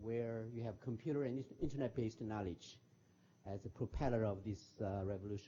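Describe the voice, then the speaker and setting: A man speaks at a fairly quick pace in a medium-pitched, somewhat breathy voice. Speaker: former diplomat and professor. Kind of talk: lecture. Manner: fast; halting.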